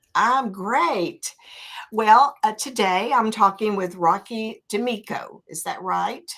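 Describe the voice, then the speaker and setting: A woman with a Southern accent speaks at a very slow pace and a fairly high pitch. Her intonation is lively, and her loudness swings widely. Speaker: interview show host. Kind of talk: interview.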